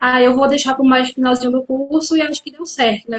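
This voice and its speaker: A high-pitched woman's voice at a fairly quick pace, with fairly even intonation. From interior of Pernambuco, Brazil (Carpina). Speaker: psychologist. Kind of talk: live interview. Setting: online live stream.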